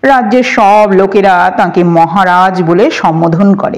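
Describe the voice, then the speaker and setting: A woman puts on a gruff character voice and talks at a fairly slow pace. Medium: read story. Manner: gruff, boastful, leisurely.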